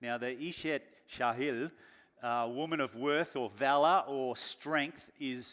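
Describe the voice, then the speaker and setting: A man speaks fairly slowly with an Australian accent, his pitch medium with ordinary variation. The recording is very clean, with a silent background. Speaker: pastor. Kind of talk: sermon.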